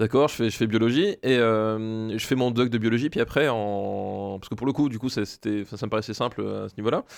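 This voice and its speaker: A man speaks at a moderate pace with hardly any pauses, his medium-pitched, fairly even delivery being a plain, everyday voice against a quiet background. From Alsace, France. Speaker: primary school teacher. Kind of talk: casual chat.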